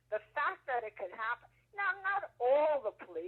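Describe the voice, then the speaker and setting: Very wide pitch swings run through this woman's high voice. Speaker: civil rights movement witness. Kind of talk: interview answer.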